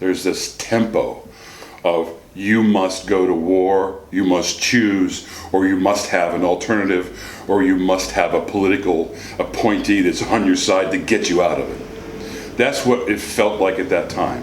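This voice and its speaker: Slow-ish, fairly even delivery from a man with an American accent at a fairly low pitch, with audible room echo and noticeable background noise. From US, central Pennsylvania (Huntingdon). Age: 60s. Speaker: grandfather interviewed for oral history. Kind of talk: oral history interview. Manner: halting, with fillers and restarts.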